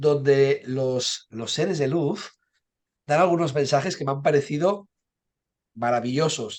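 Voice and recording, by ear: Fairly slow and nasal, a man speaks at a fairly high pitch with a slightly mellow tone and ordinary pitch variation.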